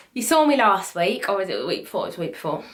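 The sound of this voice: A woman speaks in a fairly bright tone. Her pitch swings widely.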